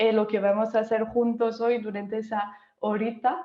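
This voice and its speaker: The voice carries a French accent and a fairly even intonation. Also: woman. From France. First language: French (speaking Spanish). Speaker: workshop moderator. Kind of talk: online workshop moderation. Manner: hesitant, many fillers.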